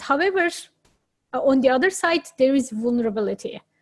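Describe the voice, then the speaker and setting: A woman is talking. The background is quiet. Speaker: entrepreneur. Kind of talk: interview. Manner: slow; halting.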